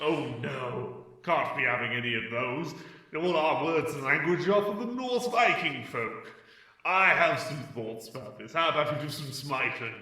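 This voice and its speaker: A man puts on a character voice at a fairly high pitch. There is clear echo around him. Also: moderate pace. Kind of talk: comic overacting. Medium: comedy sketch.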